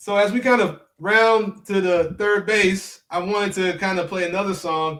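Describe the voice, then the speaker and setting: Intonation is fairly even. The speech keeps to a moderate pace. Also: man, high pitch for a man. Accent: Memphis. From US South, Memphis, Tennessee. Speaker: podcast host, music tech founder. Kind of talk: interview.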